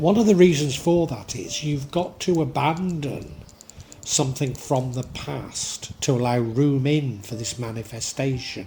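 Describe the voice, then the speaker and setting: A man with a fairly high pitch speaks with lively intonation while noticeable background noise runs underneath. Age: 60s. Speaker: tarot reader. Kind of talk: tarot reading monologue. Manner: hesitant, with fillers and restarts.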